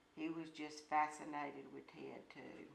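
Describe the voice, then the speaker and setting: In an Alabama accent, a woman speaks at a very slow pace with a very deep, low pitch. The room echo is audible. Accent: Southern US (Alabama). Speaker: grandmother. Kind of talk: interview.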